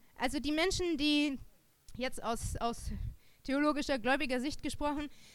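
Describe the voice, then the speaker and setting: A woman's voice at a moderate pace, with audible room echo. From Germany. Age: 30s. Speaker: theologian and lecturer. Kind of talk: lecture.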